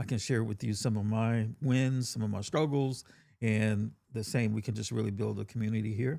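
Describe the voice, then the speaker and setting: In a Southern US accent, a man speaks with a dark, mellow tone, a fairly low pitch and ordinary pitch variation. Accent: Southern US country. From US South, Georgia. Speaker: tech content creator. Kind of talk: live-stream tutorial. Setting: home studio. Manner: casual, with fillers and restarts.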